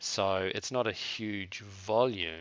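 A man with a New Zealand accent speaks in a bright, sharp tone. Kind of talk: interview. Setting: remote call. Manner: halting.

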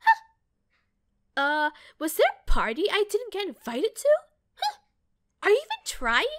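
Using a put-on character voice, a woman talks at a moderate pace with a playful tone, an extremely high pitch and very wide pitch swings, recorded with a dry, close sound and no echo. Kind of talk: game character audition lines. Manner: cocky, playful.

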